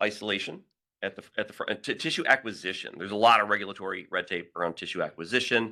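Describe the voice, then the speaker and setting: In a very clean recording with a silent background, a man speaks loudly and fairly quickly, his fairly low voice carrying a bright, sharp tone. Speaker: biotech company founder and engineer. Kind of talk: conference presentation.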